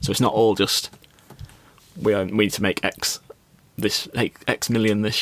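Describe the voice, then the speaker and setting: Moderate-paced speech from a man. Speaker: podcast guest or co-host. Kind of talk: podcast conversation.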